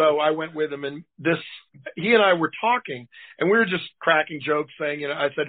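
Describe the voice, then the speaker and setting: Here is a fairly high-pitched man in an American accent. He talks at a moderate pace with ordinary pitch variation. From Boston. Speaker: pro wrestling manager and lawyer. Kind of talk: casual interview.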